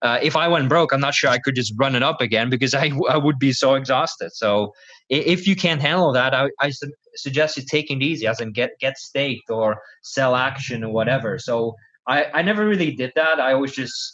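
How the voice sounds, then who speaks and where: With a Dutch accent, a man talks at a fairly quick pace in a fairly high, bright and sharp voice with ordinary pitch variation. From Netherlands. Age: 20s. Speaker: professional poker player and coach. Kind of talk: podcast interview.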